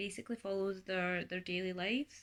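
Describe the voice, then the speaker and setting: A bright, sharp tone with a Scottish accent. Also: woman. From Scotland. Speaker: booktuber. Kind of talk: casual vlog book review. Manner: chatty, with fillers.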